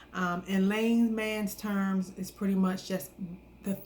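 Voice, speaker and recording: Very slowly, a woman speaks in a somewhat breathy voice of medium pitch with ordinary pitch variation. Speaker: wellness vlogger. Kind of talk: casual talk to camera. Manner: soft-spoken; hesitant, many fillers.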